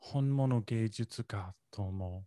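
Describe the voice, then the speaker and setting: In an English accent, a man speaks at a very slow pace with lively intonation, medium pitch and a dark, mellow tone, the sound dry and close with no echo on a very clean recording with a silent background. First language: English (speaking Japanese). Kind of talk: casual chat. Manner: halting, hesitant.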